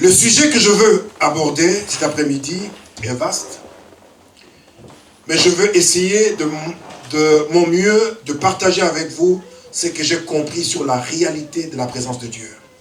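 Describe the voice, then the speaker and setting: A man with a high pitch and ordinary pitch variation speaks at a very slow pace, with big swings in loudness and long, frequent pauses, amid noticeable background noise and audible room echo. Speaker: preacher. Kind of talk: sermon. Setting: church.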